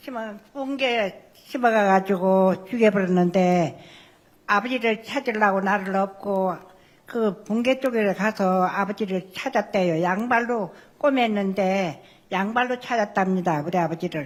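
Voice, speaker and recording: Her delivery is very slow, and the woman's pitch rises and falls in a normal way. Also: medium pitch for a woman. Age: 80s+. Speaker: victim's family member. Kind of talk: testimony. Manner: halting.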